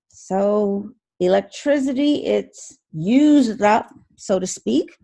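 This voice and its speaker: A woman at medium pitch, dark and mellow in tone, with lively intonation. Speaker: accounting instructor. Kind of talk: lecture.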